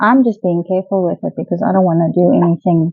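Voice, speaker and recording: Mumbling with a South African accent, a woman speaks at a medium pitch with ordinary pitch variation, her voice dry with no echo against a quiet background. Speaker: pet product reviewer. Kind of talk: casual talk to camera. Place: home room.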